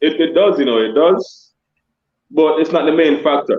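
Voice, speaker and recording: This man talks at a moderate pace with a Jamaican accent. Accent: kept Jamaican. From Jamaica-born, raised in Scarborough, Toronto. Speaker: dancehall artist and DJ. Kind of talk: interview on a live stream.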